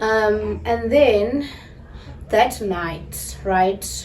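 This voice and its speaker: The woman talks at a very slow pace. Her voice comes with noticeable background noise and audible room echo. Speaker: vlogger. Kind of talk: casual story time vlog. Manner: animated.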